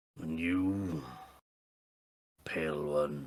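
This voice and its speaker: A man's put-on character voice, very deep and low, with ordinary pitch variation. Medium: actual play. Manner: formal, imperious.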